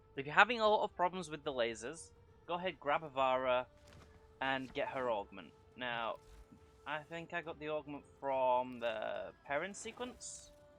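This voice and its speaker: Lively, fairly high-pitched speech from a man at a moderate pace, with music behind it. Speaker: gaming youtuber. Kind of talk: unscripted gameplay commentary. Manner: halting.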